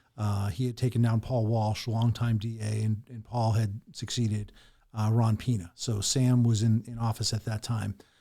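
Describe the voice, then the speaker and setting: A man with a medium pitch and a dark, mellow tone speaks at a moderate pace. He sounds somewhat breathy, and his intonation is monotone and flat. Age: 50s. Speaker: lawyer and political candidate. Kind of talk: podcast interview.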